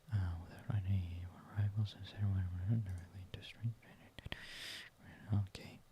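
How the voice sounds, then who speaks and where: Delivered at a moderate pace in a flat monotone, the speech has long, frequent pauses over noticeable background noise. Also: man. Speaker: university student, ASMR creator. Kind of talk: casual talk to camera, study-along narration. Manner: quiet, soft-spoken, whispery.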